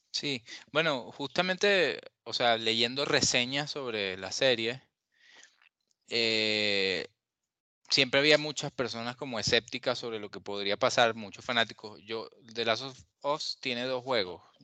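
A man with a Venezuelan accent speaks at a medium pitch in a bright, sharp tone, his loudness swinging widely. Long, frequent pauses break his speech over a quiet background. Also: ordinary pitch variation. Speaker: journalist. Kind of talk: casual chat.

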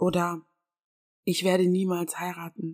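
A woman speaks at a fairly slow pace in a warm tone. The sound is dry and close, with no echo. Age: 20s. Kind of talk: faith-based monologue. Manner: warm, personal.

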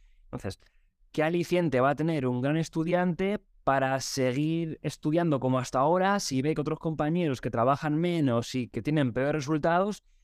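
A man's normal speaking voice, fairly high in pitch with ordinary pitch variation, at a moderate pace on a very clean recording with a silent background. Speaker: teacher trainer. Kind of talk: casual interview.

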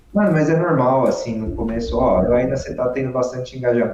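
A man speaking at a moderate pace amid audible room echo. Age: 30s. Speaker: horse-focused content creator. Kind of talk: casual chat. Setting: online live stream.

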